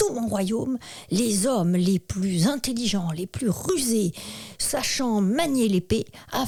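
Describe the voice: Someone reads the text aloud in a plain way.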